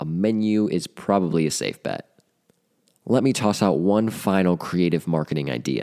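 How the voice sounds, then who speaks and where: A man with an American accent talks at a moderate pace in a very deep, low pitch. His tone is upbeat and energetic, and his pitch varies in an ordinary way. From US Midwest, central Ohio. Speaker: podcast host, marketing advisor. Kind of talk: scripted podcast monologue. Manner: upbeat, energetic.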